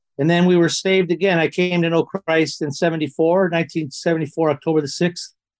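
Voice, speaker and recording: A man with a Canadian accent, a high pitch and a monotone, flat delivery at a fairly slow pace. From Toronto, Canada; son of Italian immigrants. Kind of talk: casual interview.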